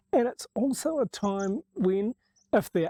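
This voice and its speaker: Over a quiet background, a man's dark, mellow tone carries lively intonation in a dry, close sound with no echo. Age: 60s. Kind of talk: reflective monologue to camera.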